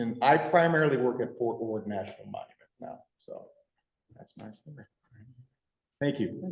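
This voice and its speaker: This man's voice sits fairly high and sounds somewhat breathy, with lively intonation. He talks at a moderate pace, with long, frequent pauses and big swings in loudness. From rural Michigan. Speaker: park ranger / land management official. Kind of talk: public meeting self-introduction.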